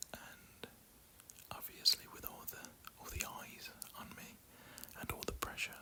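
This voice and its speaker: A man whispers at a very slow pace, with noticeable background noise behind him. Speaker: ASMR content creator. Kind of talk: casual storytelling about his wedding day. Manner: whispered, soft-spoken.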